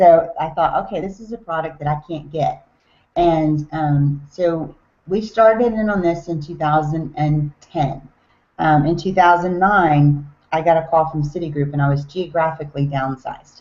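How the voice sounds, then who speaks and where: With a Southern US accent, a woman talks at a moderate pace in a very deep, low pitch. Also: ordinary pitch variation. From US South, Tennessee. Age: 40s. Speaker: network marketer. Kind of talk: business talk on a team call. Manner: casual, with filler words.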